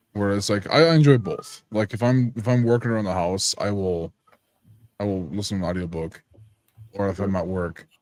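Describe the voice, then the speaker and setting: A man talks at a fairly quick pace in a fairly low pitch with ordinary pitch variation. It is an unremarkable speaking voice. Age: 20s. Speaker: voice actor. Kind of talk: casual chat.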